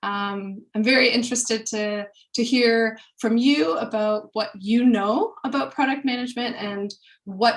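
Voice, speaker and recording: The speaker sounds somewhat breathy and moves at a fairly slow pace. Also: woman. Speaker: product manager. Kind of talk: webinar presentation.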